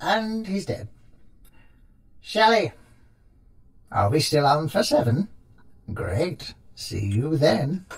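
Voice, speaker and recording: A man's put-on character voice, fairly high in pitch, with very wide pitch swings, a very slow pace and long, frequent pauses. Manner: gleeful, gossipy, mocking.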